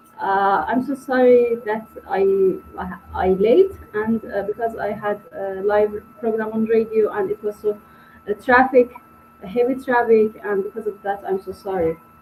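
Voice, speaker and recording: A fairly slow pace over noticeable background noise. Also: woman, fairly high pitch for a woman, ordinary pitch variation. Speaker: filmmaker and radio presenter. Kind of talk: panel discussion. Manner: halting, non-fluent English.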